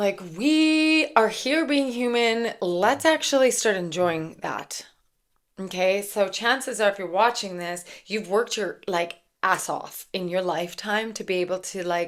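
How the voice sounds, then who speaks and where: An ordinary speaking voice from a woman at medium pitch, lively in intonation and fairly slow, on a very clean recording with a silent background. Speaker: spiritual channeler and tarot reader. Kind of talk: channeled spiritual message monologue. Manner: casual, filler-heavy.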